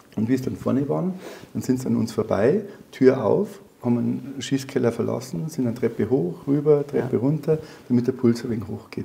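Lively intonation marks a man talking at a fairly quick pace. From Bavaria, Germany. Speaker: former police officer and soldier. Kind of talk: interview answer. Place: studio. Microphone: lapel.

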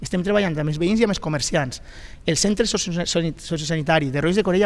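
A man's high-pitched voice at a very fast pace, with ordinary pitch variation. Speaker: district council president; local politician in debate. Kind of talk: heated debate. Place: studio. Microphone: headset.

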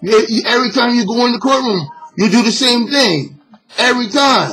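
Ordinary pitch variation runs through speech delivered at a moderate pace. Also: man. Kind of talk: angry vlog rant. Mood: angry, frustrated. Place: home room. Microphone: webcam.

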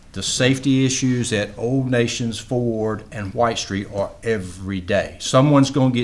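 A man with fairly low pitch and fairly even intonation

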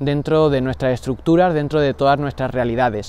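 The voice has a dark, mellow tone in a dry sound with no echo. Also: man. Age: 20s. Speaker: religious brother in formation; book reviewer. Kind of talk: book review monologue. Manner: formal. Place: garden.

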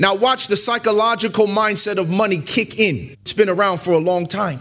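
A man's high, bright, sharp voice with an animated tone. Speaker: preacher. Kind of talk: sermon. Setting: church; stage with audience. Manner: animated, call-and-response preacher. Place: church. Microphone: podium.

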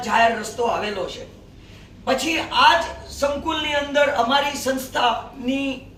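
Over noticeable background noise and audible room echo, a man talks at an extremely high pitch. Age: 70s. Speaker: community representative. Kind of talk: press conference statement. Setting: press conference.

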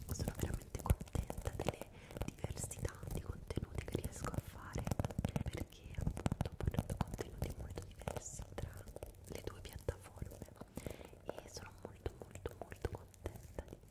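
The voice is soft-spoken and whispering, with long, frequent pauses. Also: woman, moderate pace. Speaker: ASMR content creator. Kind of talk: soft-spoken casual storytelling. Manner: soft close-mic whisper. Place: home room. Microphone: studio mic.

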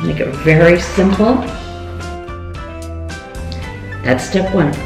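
Clear music plays behind a woman, along with audible room echo. She speaks at a fairly slow pace. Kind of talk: cooking tutorial. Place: kitchen. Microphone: camera far.

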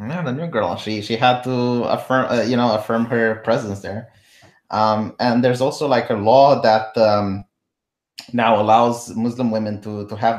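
With a Romanian accent, a man of medium pitch talks at a moderate pace with fairly even intonation and big swings in loudness against a quiet background. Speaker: political commentary streamer. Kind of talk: live stream political chat. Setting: live stream with remote guest.

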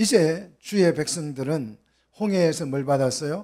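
Over a quiet background, a dark, mellow voice moves at a fairly slow pace with ordinary pitch variation. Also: man. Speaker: pastor. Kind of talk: sermon. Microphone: handheld.

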